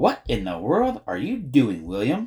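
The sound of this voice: A put-on character voice with a dark, mellow tone and a husky, rough edge. It moves at a fairly slow pace with very wide pitch swings.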